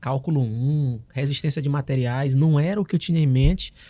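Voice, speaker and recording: A man speaks at a moderate pace in a dark, mellow tone, on a very clean recording with a silent background. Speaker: oral and maxillofacial surgeon. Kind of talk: podcast interview.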